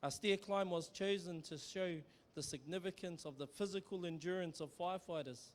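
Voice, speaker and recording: Speaking at a moderate pace, a man keeps his high-pitched voice in fairly even intonation. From New Zealand, Maori. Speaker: Maori ceremonial speaker. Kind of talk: formal ceremonial welcome speech. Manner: formal.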